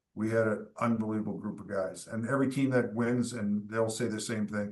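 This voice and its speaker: A man with a Canadian accent talks at a fairly quick pace and medium pitch. His intonation is monotone and flat, with audible room echo. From eastern Canada. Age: 60s. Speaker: former hockey goalie and team executive. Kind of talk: casual interview.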